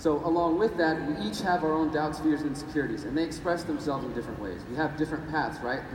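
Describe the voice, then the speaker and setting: With hardly any pauses, a man speaks at a very fast pace amid noticeable background noise and audible room echo. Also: fairly high pitch for a man, ordinary pitch variation. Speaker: activist and journalist. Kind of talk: conference talk. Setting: stage with audience. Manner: animated.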